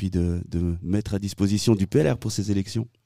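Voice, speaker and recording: A man speaks at a moderate pace in a fairly low pitch, with a dark, mellow tone. His pitch varies in an ordinary way, and the sound is dry and close with no echo. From Switzerland, Valais (Saint-Maurice). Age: 30s. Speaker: local radio host and election candidate. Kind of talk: casual radio chat. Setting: outdoor street studio.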